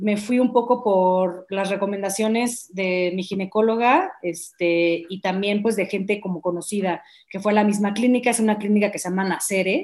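At a moderate pace and medium pitch, a woman talks with fairly even intonation and hardly any pauses. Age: 30s. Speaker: founder sharing egg-freezing experience. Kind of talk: interview testimony. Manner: hesitant, many fillers.

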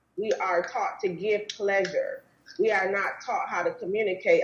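At a moderate pace, a woman with an American accent speaks in a medium pitch with ordinary pitch variation over noticeable background noise. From Wisconsin. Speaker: relationship therapist. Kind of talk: interview.

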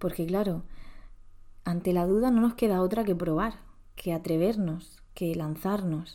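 On a very clean recording with a silent background, a woman speaks at a medium pitch with fairly even intonation and a dark, mellow tone. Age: 30s. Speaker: podcast host. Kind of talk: personal reflective monologue.

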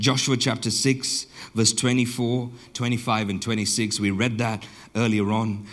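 A man's medium-pitched, flat, monotone voice with audible room echo. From southern Botswana. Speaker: pastor. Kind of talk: sermon.

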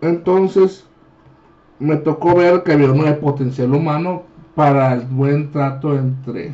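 With a Mexican accent, a man speaks fairly slowly at a fairly high pitch, his intonation fairly even. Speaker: podcast host. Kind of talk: casual chat.

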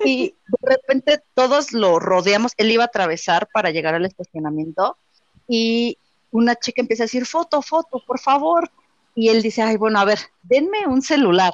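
A woman's fairly high voice in a Mexico City accent, moderate in pace, with very wide pitch swings and very even loudness. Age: 30s. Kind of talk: casual chat. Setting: online group call.

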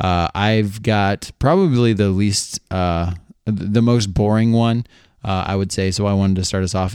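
Heard in a very clean recording with a silent background and a dry, close sound with no echo, a man talks at a moderate pace and a fairly low pitch. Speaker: podcast host. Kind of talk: casual chat. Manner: animated.

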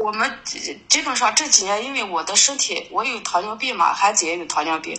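Amid noticeable background noise, a woman with a northern Chinese accent speaks at a fairly quick pace in a fairly high voice, her pitch swinging very widely. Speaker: caller seeking counseling. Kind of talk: call-in counseling talk. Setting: phone call. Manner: halting, many fillers.

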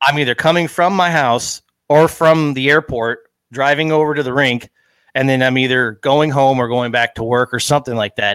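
A man at a medium pitch and moderate pace, with ordinary pitch variation, in a very clean, silent recording with a dry, close sound and no echo. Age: 30s. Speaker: airline fleet support coordinator. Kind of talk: casual interview chat. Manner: hesitant, many fillers.

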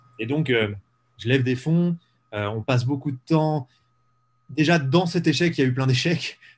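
In a very clean recording with a silent background, a man with a fairly high pitch talks at a fairly slow pace, somewhat breathy, with ordinary pitch variation and long, frequent pauses. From eastern France, Ain (Jura mountains). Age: 20s. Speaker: entrepreneur. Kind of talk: interview.

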